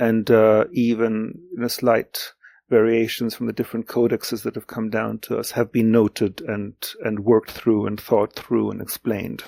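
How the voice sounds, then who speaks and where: A man with a German accent speaks at medium pitch and a moderate pace, his tone dark and mellow and his intonation monotone and flat. The sound is dry and close with no echo, on a very clean recording with a silent background. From Greece. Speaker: literary translator. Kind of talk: interview. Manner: halting, many fillers and repetitions.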